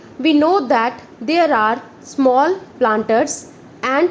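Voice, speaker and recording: A woman speaks at a very slow pace with lively intonation, and noticeable background noise sits behind her. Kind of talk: shorthand dictation reading of a parliamentary speech, slow dictation pace.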